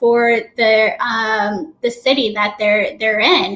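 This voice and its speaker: Through noticeable background noise, a woman talks at a fairly slow pace in a fairly high voice with ordinary pitch variation. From US South (Florida). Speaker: hospitality trainer and business owner. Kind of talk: interview. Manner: energetic.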